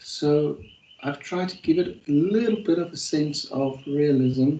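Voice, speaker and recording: A dark, mellow voice with lively intonation and a South African accent, at a fairly slow pace. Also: man, fairly high pitch for a man. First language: Afrikaans. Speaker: university lecturer. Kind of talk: online class session. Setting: video call. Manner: hesitant, many fillers.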